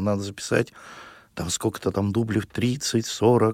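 A man speaks at a moderate pace with a fairly low pitch and fairly even intonation, in a very clean recording with a silent background and a dry, close sound with no echo. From Russia, Perm region. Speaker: singer. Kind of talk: radio interview. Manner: halting.

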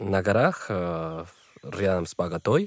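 At a very slow pace, a man speaks. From Colombia, Bogotá. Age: 20s. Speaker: student. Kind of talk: casual chat. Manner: halting.

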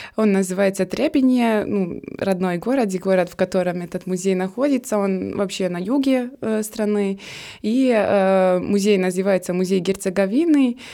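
Here a woman speaks at a fairly slow pace in a medium pitch with ordinary pitch variation. The recording is very clean, with a silent background. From Bosnia and Herzegovina, Trebinje. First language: Serbian (speaking Russian). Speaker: graduate student. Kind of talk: interview. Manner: hesitant, many fillers.

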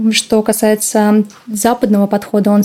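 Behind a woman's fairly high-pitched speech, noticeable background noise can be heard. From Russia, St. Petersburg. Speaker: former fashion model and agent. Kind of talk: interview.

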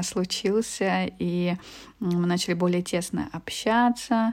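A woman speaks with fairly even intonation. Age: 30s. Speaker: business consultant. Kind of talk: interview. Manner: hesitant with fillers.

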